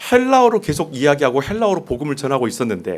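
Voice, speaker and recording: Very wide pitch swings run through the man's speech. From South Korea, Jeolla region. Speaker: pastor. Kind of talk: sermon. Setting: church.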